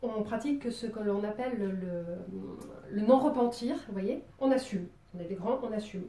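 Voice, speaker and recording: Speaking fairly slowly in a southern French accent, a woman uses a fairly high pitch with ordinary pitch variation. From southern France, Marseille. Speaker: drawing teacher. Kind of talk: tutorial. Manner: casual, hesitant with many fillers.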